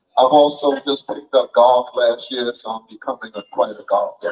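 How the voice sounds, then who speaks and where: Man at a fairly slow pace with music in the background. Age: 80s+. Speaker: community elder and entrepreneur. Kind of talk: commencement speech.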